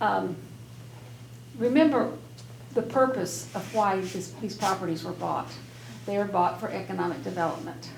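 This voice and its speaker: Against noticeable background noise and audible room echo, a woman speaks at a moderate pace with long, frequent pauses. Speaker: local elected official. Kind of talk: public meeting remarks. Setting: public meeting room with audience. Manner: hesitant, with restarts.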